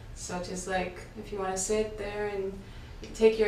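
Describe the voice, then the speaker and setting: A woman with monotone, flat intonation at a moderate pace, amid audible room echo and light background noise. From Mexico, Veracruz. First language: Spanish. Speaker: sound healer. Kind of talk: guided meditation. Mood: calm, soft, soothing. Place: home room.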